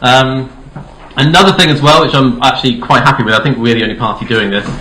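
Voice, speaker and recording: Over noticeable background noise and audible room echo, a man with a southern English accent talks at a very fast pace. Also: medium pitch for a man, ordinary pitch variation. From Dorset, southern England. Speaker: political candidate. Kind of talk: campaign speech. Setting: hall with audience. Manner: hesitant, many fillers.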